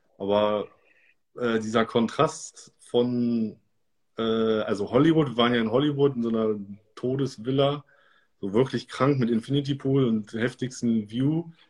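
A man's medium-pitched, fairly even delivery, fairly slow, with long, frequent pauses. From Germany, Göttingen. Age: 30s. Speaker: DJ and music producer. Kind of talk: interview.

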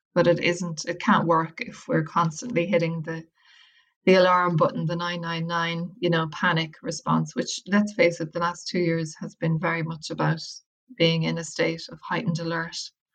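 In an Irish accent, a woman speaks somewhat breathily at a fairly low pitch with fairly even intonation. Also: moderate pace. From Ireland, County Wicklow. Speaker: academic and well-being practitioner, author. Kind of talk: interview.

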